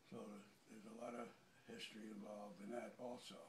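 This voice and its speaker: A man's speech carries audible room echo, with light background noise behind it. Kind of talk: interview answer. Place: empty room. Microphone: phone near.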